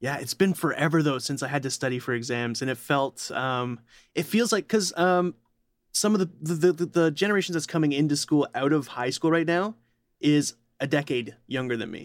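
Here is a man with an unremarkable speaking voice, fairly high in pitch, with ordinary pitch variation and a moderate pace. The recording is very clean, the background silent. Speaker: podcast co-host. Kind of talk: casual chat.

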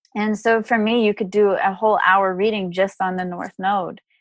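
An ordinary speaking voice, this woman talks at medium pitch and moderate pace with fairly even intonation, the sound dry and close with no echo. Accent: American. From Texas, Dallas. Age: 30s. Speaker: astrologer and author. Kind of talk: casual interview.

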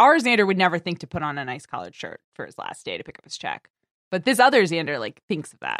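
A woman with a fairly low pitch and vocal fry talks very fast, her pitch swinging very widely and her loudness shifting a lot, in a dry, close sound with no echo. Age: 30s. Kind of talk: casual chat.

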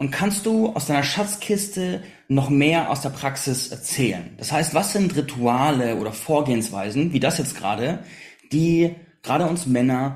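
A somewhat breathy voice with lively intonation speaks at a moderate pace, with audible room echo. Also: man. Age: 30s. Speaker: podcast host. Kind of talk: interview.

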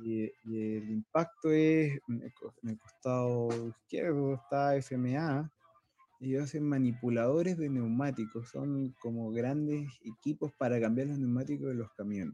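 An ordinary speaking voice belongs to a man of medium pitch with ordinary pitch variation. He talks at a fairly slow pace, and the sound is dry and close with no echo. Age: 30s. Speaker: business development manager. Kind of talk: presentation.

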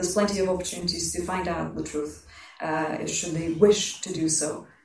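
A woman's fairly low voice at a moderate pace with fairly even intonation, audible room echo and noticeable background noise. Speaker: historian and writer. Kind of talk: panel discussion.

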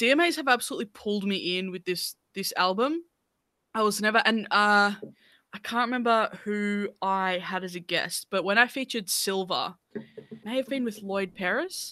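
On a very clean recording with a silent background, a woman with an Australian accent speaks at a medium pitch and moderate pace with ordinary pitch variation. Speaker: music podcast host. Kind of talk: casual chat.

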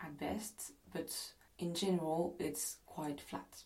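Speaking very slowly in a French accent, a woman uses a fairly low pitch and fairly even intonation. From France. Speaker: podcast host. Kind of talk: travel storytelling narration.

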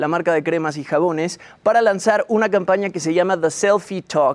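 The man's voice sits high in pitch, with ordinary variation in it. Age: young. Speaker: entertainment commentator. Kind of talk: segment presentation.

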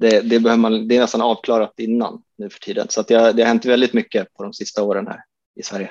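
With a dry, close sound and no echo, a man talks at a very fast pace in a monotone, flat intonation while his loudness swings widely. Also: medium pitch for a man. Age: 30s. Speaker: disc golf course designer. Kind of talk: casual interview.

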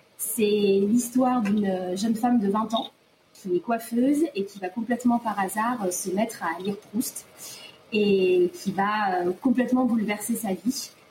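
A woman's fairly high voice at a very slow pace, with ordinary pitch variation and noticeable background noise. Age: 20s. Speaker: reader asking a question. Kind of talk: prepared question, read out.

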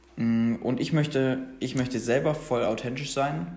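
Audible room echo surrounds a man speaking at a medium pitch and a moderate pace. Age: 20s. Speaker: podcast host. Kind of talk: casual solo podcast talk. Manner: casual, with many fillers.

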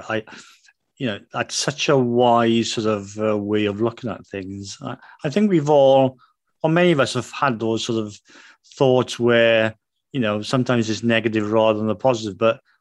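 This man has a British accent and a medium pitch with ordinary pitch variation. He keeps a moderate pace against a quiet background. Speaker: financial planner and podcast host. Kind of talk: interview.

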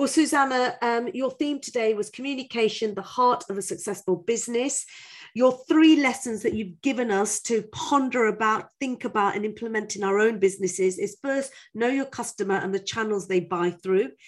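In a plain, everyday voice, a woman speaks at a moderate pace with fairly high pitch and ordinary pitch variation. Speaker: podcast host. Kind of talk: scripted intro and casual interview. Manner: warm, joking.

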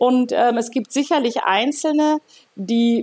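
A woman speaks in a high pitch. The sound is dry and close, with no echo. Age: 60s. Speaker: gynecologist. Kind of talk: interview conversation.

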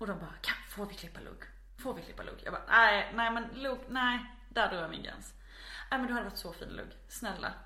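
Over noticeable background noise, a woman speaks with audible room echo. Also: big swings in loudness. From Småland, Sweden (near Växjö). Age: 20s. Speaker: podcast guest. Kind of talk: casual chat. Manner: animated.

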